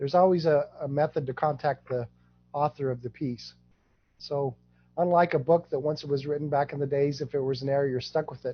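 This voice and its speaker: Very fast and somewhat breathy, a man talks at a fairly high pitch with fairly even intonation. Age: 60s. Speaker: genealogy project founder, guest speaker. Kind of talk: presentation Q&A.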